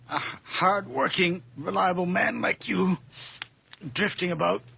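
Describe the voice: In a put-on character voice, a man speaks at a high pitch at a fairly slow pace, with ordinary pitch variation. His tone is bright and sharp, with a slightly husky edge and vocal fry.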